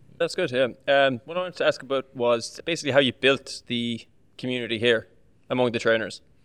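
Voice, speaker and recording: A man with an Irish accent at a very fast pace, medium pitch and ordinary pitch variation. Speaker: personal trainer. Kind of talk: casual chat.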